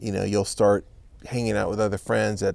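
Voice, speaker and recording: Vocal fry marks this man's fairly low voice, which has ordinary pitch variation. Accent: Californian. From Los Angeles, California. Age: 40s. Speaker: artisan business owner. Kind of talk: interview. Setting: home studio in a backyard.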